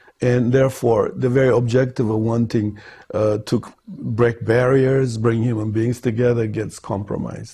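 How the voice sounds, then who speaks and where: At a moderate pace, a man talks in a medium-pitched, dark, mellow tone that is somewhat breathy, with monotone, flat intonation. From Ethiopia, Gondar. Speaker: film director. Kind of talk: interview answer.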